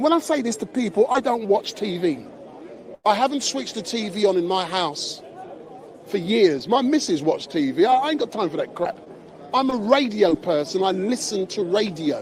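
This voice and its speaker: Over crowd noise in the background, a man with a high pitch speaks at a moderate pace with very wide pitch swings. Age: 60s. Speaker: street live streamer. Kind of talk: live street stream interview. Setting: outdoors outside court. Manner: animated.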